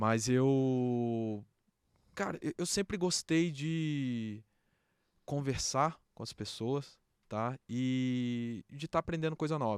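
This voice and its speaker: Very slowly, a man with medium pitch and ordinary pitch variation speaks in a dry, close sound with no echo on a very clean recording with a silent background. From Brazil, Brasília. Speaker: beer industry association president. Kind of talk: podcast interview. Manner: casual, filler-heavy.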